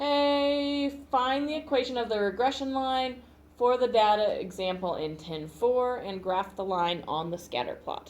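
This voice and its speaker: A loud woman's high voice with lively intonation at a fairly slow pace, amid audible room echo. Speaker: math teacher. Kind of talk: classroom lecture. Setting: classroom. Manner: casual.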